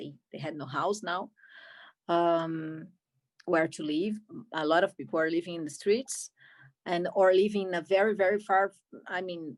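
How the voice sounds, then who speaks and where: Over a very clean recording with a silent background, a woman with a Brazilian Portuguese accent speaks at a moderate pace, leaving long, frequent pauses. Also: fairly low pitch for a woman, ordinary pitch variation. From Brazil, Rio de Janeiro. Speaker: film director. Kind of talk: Q&A interview. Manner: halting, many repetitions.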